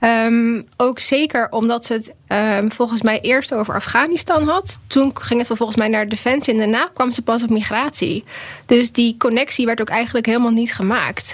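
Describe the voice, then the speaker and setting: Fairly high pitch from a woman, a plain, everyday voice, normal pitch movement, moderate speed. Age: 30s. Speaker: policy researcher. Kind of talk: casual chat. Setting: studio.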